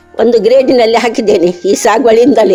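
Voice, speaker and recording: A woman's fairly high voice with fairly even intonation, over music in the background. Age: 80s+. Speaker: farmer. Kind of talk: interview. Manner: halting.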